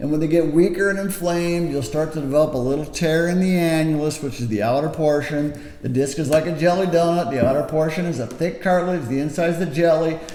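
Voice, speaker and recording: At a very fast pace with hardly any pauses, a man talks in a fairly high voice with ordinary pitch variation. Noticeable background noise and audible room echo surround him. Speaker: back pain clinician. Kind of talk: educational talk to camera.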